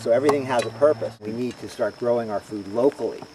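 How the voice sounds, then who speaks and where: The speech comes at a very fast pace with ordinary pitch variation. Noticeable background noise sits underneath. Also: man. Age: 60s. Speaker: farmer. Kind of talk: interview.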